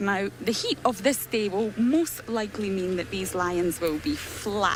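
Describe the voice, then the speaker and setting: Against noticeable background noise, a woman speaks at a fairly slow pace with lively intonation. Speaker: safari guide. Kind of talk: live commentary. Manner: animated; soft-spoken.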